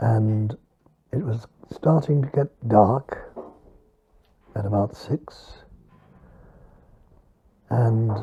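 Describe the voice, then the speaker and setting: A man at a medium pitch speaks in a somewhat breathy voice. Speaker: Holocaust survivor, eyewitness. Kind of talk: interview answer.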